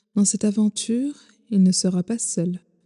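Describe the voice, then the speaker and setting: A somewhat breathy, dark, mellow voice at a fairly slow pace, with monotone, flat intonation and a dry, close sound with no echo. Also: woman. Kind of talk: sleep story.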